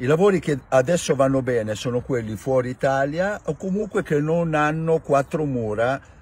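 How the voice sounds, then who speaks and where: Somewhat breathy, a man speaks at a moderate pace with lively intonation, the sound dry with no echo. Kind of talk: casual explanatory rant. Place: car.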